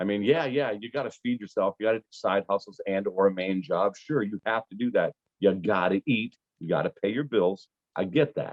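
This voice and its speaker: Fairly quick and fairly low-pitched, a man speaks with an American accent and ordinary pitch variation. He has an ordinary speaking voice. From Pittsburgh, US. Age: 40s. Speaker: comedian. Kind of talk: casual chat. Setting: video call.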